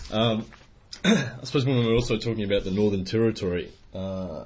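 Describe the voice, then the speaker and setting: Through audible room echo, a man with an Australian accent talks at a fairly quick pace, his fairly low, somewhat breathy voice keeping fairly even intonation. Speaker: language teacher. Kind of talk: educational podcast conversation. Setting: classroom.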